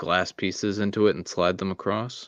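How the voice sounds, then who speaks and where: A man's vocal fry in a dry, close sound with no echo. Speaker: Lego builder. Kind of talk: casual chat.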